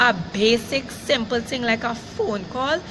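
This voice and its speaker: A woman with a Caribbean accent speaks at a high pitch with ordinary pitch variation. Her pace is fairly slow, with noticeable background noise. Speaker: vlogger. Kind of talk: live rant to camera. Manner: upset, emphatic.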